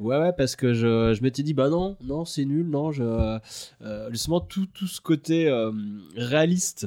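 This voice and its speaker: Lively intonation from a man with a dark, mellow tone, in a dry, close sound with no echo. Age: 30s. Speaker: video editor and director. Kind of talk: casual chat.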